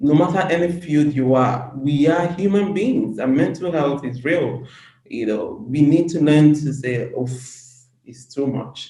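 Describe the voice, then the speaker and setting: A woman's very deep, low voice with a dark, mellow tone, somewhat breathy, at a fairly slow pace with ordinary pitch variation and audible room echo. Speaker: women's empowerment advocate. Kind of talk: interview.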